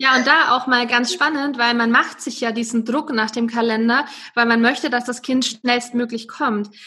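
Over noticeable background noise, a woman with a high pitch speaks at a moderate pace with monotone, flat intonation. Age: 30s. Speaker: wellbeing coach and wedding photographer. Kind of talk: personal testimony in interview.

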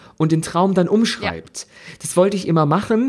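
Speaking at a fairly quick pace, a man uses a high pitch and an animated tone. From Germany. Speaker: podcast co-host. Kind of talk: casual chat.

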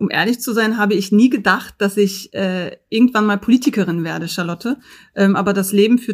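The speaker talks at a fairly quick clip in a normal speaking voice. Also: woman. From Berlin Neukölln. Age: 30s. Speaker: state politician. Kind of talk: interview. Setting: video call.

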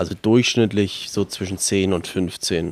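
This man's voice sits fairly low in pitch. He keeps his intonation fairly even. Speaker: climbing wall founder, church member. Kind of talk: interview. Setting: indoor bouldering loft with children climbing.

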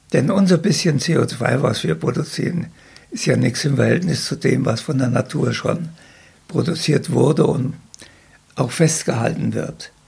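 Amid noticeable background noise, a man with a fairly high pitch and ordinary pitch variation talks at a fairly slow pace with long, frequent pauses. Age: 80s+. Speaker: retired agricultural scientist. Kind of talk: casual interview. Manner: halting.

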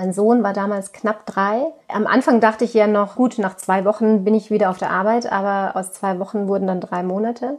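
At a fairly quick pace, a woman speaks in an ordinary speaking voice with a medium pitch and fairly even intonation. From Austria, Tyrol. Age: 30s. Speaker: yoga teacher with multiple sclerosis. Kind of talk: interview. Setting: remote call from childhood bedroom.

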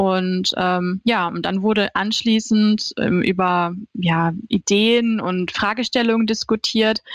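A woman speaks very slowly at a medium pitch with fairly even intonation and hardly any pauses, in a dry, close sound with no echo on a very clean recording with a silent background. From Hannover, northern Germany. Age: 30s. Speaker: social media manager. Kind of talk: interview.

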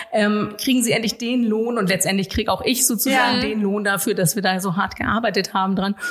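A woman speaks at a fairly quick pace with hardly any pauses, her fairly high voice keeping fairly even intonation and very even loudness over noticeable background noise. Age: 40s. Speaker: local politician. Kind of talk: interview conversation.

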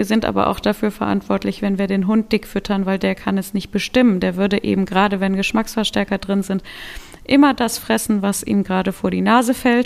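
At a fairly quick pace, a woman talks with fairly even intonation in an ordinary speaking voice. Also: medium pitch for a woman. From western Germany (Solingen, North Rhine-Westphalia). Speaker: dog food company owner and rescue dog handler. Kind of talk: casual interview.

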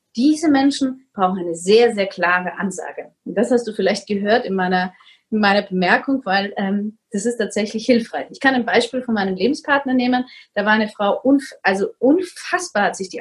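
A woman speaks at a moderate pace in a fairly high pitch with lively intonation. Her voice is somewhat breathy. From Vienna, Austria. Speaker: coach on narcissistic abuse. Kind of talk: interview.

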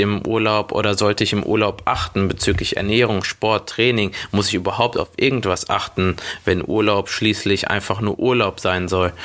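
Noticeable background noise behind a man's speech at a moderate pace, fairly low in pitch and fairly even in intonation. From Germany, Schwelm near Wuppertal. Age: 20s. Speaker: personal trainer and gym owner. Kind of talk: solo podcast monologue.

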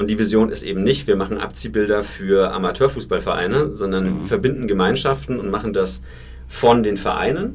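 A man's fairly low voice at a fairly quick pace, with very wide pitch swings and audible room echo. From Franconia, Germany. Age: 30s. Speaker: startup founder. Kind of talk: interview.

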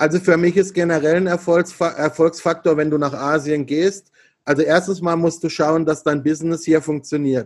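A man talks at a moderate pace in a fairly high pitch, his intonation monotone and flat, against a quiet background. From Freiburg, southwest Germany. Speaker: entrepreneur and business consultant. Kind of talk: interview.

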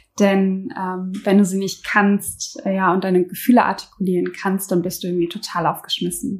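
A somewhat breathy woman's voice with fairly even intonation and hardly any pauses. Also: medium pitch for a woman, moderate pace. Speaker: podcast co-host. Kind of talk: conversational discussion. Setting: home kitchen with open window.

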